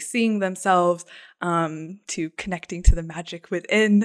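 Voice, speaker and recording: In a very clean recording with a silent background and a dry, close sound with no echo, a woman with an American accent uses a normal speaking voice, fairly low in pitch, with ordinary pitch variation at a moderate pace. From US Southwest, Arizona (Phoenix area). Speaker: artist and creativity coach. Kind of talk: casual interview chat.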